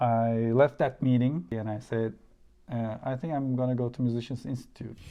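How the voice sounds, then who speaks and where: Speaking with a Turkish accent, a man uses a dark, mellow tone at medium pitch, with a moderate pace and fairly even intonation. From Turkey. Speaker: musician and YouTuber. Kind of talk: interview.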